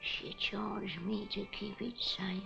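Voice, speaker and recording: A woman speaks in a put-on character voice at a fairly slow pace. Background noise is clearly audible. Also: medium pitch for a woman. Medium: short film. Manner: halting, broken.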